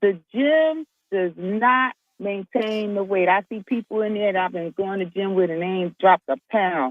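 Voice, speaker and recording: Speaking at a moderate pace, a woman with an ordinary speaking voice and medium pitch uses lively intonation. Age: 60s. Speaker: military veteran. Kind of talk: radio interview.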